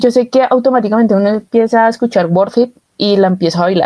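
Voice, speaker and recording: A woman speaks at a medium pitch in a dark, mellow tone. Her pitch varies in an ordinary way. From Colombia, Bogotá. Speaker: podcast co-host. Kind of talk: casual chat.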